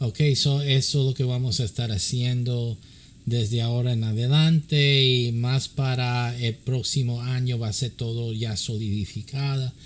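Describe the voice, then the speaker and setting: A man at a medium pitch, somewhat breathy, with fairly even intonation at a fairly slow pace. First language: English (speaking Spanish). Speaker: pastor and church counselor. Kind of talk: religious teaching. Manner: halting, many fillers.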